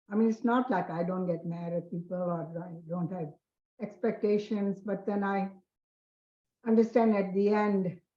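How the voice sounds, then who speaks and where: Somewhat breathy and dark, mellow in tone, a woman talks at a moderate pace and medium pitch with fairly even intonation. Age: 80s+. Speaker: meditation group participant. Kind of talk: sharing in online group.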